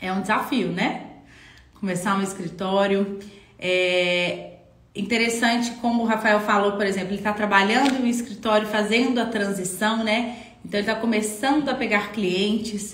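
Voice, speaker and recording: Audible room echo and noticeable background noise surround the recording. A woman speaks at a fairly high pitch with fairly even intonation. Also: moderate pace. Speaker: architecture office owner and live-stream mentor. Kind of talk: live stream Q&A. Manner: conversational.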